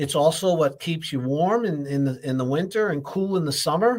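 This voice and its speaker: Speaking at a fairly quick pace, a man uses an ordinary speaking voice. His pitch is fairly high and his intonation lively. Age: 60s. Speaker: health show host, doctor. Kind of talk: live health talk show monologue. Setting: live stream. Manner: casual, repetitive, some stumbling.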